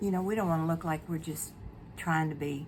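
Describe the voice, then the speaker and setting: A woman's somewhat breathy voice, very deep and low in pitch, carries audible room echo. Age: 70s. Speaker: beauty vlogger. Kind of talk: casual chat. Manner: casual, hesitant with fillers.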